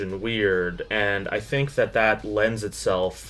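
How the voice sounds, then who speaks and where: A man speaks at a very slow pace. Faint music sits in the background. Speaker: video essay host. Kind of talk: commentary. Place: home room. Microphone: camera far.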